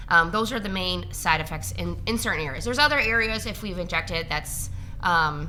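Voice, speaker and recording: A woman mumbles at a fairly quick pace, with audible room echo. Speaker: registered nurse injector. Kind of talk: casual interview. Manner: fast; mumbling.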